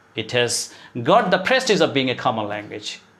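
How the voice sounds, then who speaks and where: A man with a Bangladeshi accent talks at a fairly slow pace with vocal fry and very wide pitch swings, with audible room echo. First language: Bengali. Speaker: English teacher. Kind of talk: motivational lecture. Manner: halting with many fillers.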